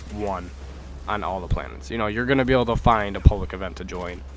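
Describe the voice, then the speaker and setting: Against music in the background and audible room echo, a man talks at a very fast pace with a fairly low pitch and very wide pitch swings. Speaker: gaming YouTuber. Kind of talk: gaming tutorial. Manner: halting, stuttering; casual, filler-heavy.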